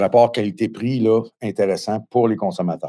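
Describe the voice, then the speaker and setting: At a fairly quick pace, a man talks with a dark, mellow tone and a fairly low pitch. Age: 50s. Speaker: electric bike manufacturer. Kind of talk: interview. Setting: remote link.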